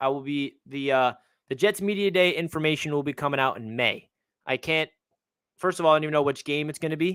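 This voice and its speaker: A man with a Long Island accent and a fairly high pitch talks at a fairly quick pace with ordinary pitch variation, in a very clean recording with a silent background. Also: dry, close sound with no echo. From Long Island, New York. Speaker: sports YouTuber. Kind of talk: live stream chat. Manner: casual, conversational.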